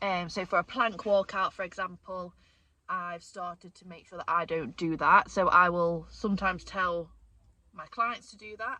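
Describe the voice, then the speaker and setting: At a moderate pace, a woman talks with a bright, sharp tone at medium pitch, her intonation fairly even while her loudness swings widely. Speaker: fitness coach and vlogger. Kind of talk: casual vlog Q&A.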